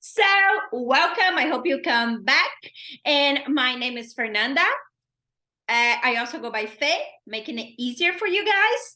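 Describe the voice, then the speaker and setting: In a Brazilian accent, the speaker uses a raised, projected voice with a bright, sharp tone, very wide pitch swings, a fairly slow pace and long, frequent pauses. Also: woman, high pitch for a woman. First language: Portuguese. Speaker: self-care podcast host. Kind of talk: casual solo podcast talk. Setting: recording at home.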